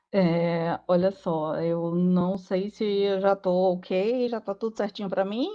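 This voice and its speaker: The speech is in a Paraíba accent at a very slow pace. Its intonation stays fairly even. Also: woman, medium pitch for a woman. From Paraíba, northeastern Brazil. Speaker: lawyer. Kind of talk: panel talk.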